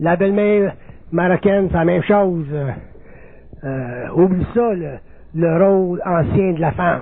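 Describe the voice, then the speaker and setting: With a Quebec accent, the speaker goes at a fairly slow pace with long, frequent pauses and ordinary pitch variation, amid audible room echo and noticeable background noise. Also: man, high pitch for a man. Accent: Québécois French. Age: 60s. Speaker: spiritual lecturer. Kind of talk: lecture.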